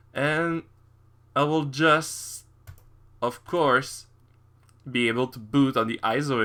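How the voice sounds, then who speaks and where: A man speaks with a French accent. His tone is bright and sharp, on a very clean recording with a silent background. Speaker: tech YouTuber. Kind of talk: screen-recorded tutorial walkthrough. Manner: halting, improvised with many fillers.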